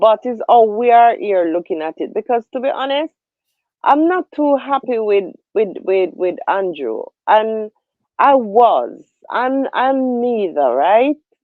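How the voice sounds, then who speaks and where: With a Jamaican accent, a woman speaks at a fairly slow pace, her pitch swinging very widely. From Jamaica, Spanish Town. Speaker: livestream host. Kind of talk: casual political discussion.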